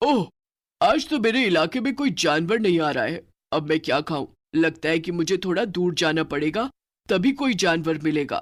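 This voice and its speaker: A man's cartoonish character voice, high-pitched at a moderate pace, in a very clean recording with a silent background. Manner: menacing, gloating.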